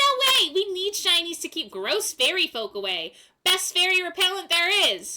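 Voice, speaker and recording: Squeaky and cackling, a woman's put-on character voice runs at an extremely high pitch and a moderate pace. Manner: defiant, gleeful.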